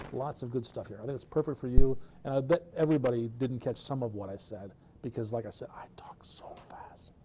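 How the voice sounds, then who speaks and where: A man with a dark, mellow tone and a somewhat breathy voice speaks at medium pitch with ordinary pitch variation and big swings in loudness, over light background noise. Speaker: presenter at developer meetup; presenter. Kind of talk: technical presentation. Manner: fast. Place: classroom.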